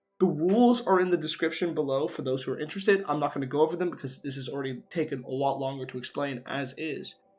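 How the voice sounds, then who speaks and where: Over music in the background, a man speaks at a very fast pace with a fairly high pitch and ordinary pitch variation. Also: hardly any pauses. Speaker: gaming YouTuber. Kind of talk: let's play commentary. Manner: casual with many fillers and repetitions.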